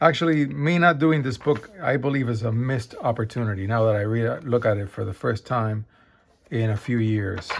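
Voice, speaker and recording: The man's pitch is medium, with ordinary variation. He keeps a moderate pace. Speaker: math self-study video creator. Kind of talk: casual book review. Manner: halting with fillers.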